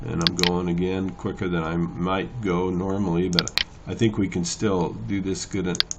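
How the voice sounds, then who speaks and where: Noticeable background noise sits under a man speaking at a very deep, low pitch with fairly even intonation. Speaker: photo editing tutor. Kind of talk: tutorial. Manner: casual, hesitant with fillers; fast.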